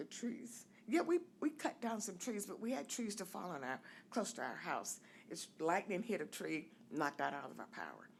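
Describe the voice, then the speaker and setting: Speaking at a moderate pace, a woman uses a medium-pitched voice with vocal fry and very wide pitch swings. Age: 70s. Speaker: resident giving public comment. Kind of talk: public comment at city meeting. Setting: city commission meeting.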